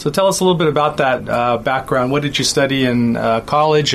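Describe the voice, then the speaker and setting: A man talks fairly quickly at a medium pitch while noticeable background noise carries on. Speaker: podcast host. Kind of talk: interview.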